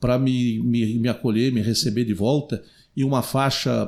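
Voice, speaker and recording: A man speaks at a moderate pace in a medium-pitched voice with monotone, flat intonation. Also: very clean recording, silent background. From southern Brazil, Rio Grande do Sul. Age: 60s. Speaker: city councillor and radio broadcaster. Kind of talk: podcast interview.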